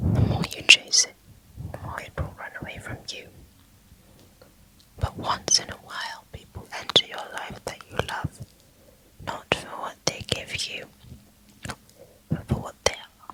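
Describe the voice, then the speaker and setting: Someone whispers in a calm tone at a fairly slow pace, with long, frequent pauses and noticeable background noise. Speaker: ASMR reader of Islamic books. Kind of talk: audiobook-style book reading for sleep, ASMR. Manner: inaudible whispering, soft and calm.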